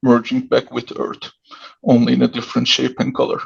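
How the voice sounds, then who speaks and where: Delivery is at a moderate pace. The speaker has a Turkish accent. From Turkey. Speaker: writer. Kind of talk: reading aloud.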